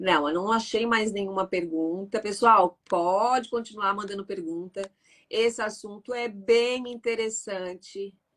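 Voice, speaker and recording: This woman speaks at a fairly slow pace. Her pitch is medium and her intonation fairly even. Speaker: live stream host. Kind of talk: live stream Q&A. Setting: online live stream.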